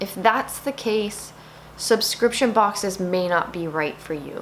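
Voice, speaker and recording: Against noticeable background noise, a woman with a medium-pitched voice speaks in an animated tone with lively intonation. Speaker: beauty vlogger. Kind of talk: casual talk to camera, product review.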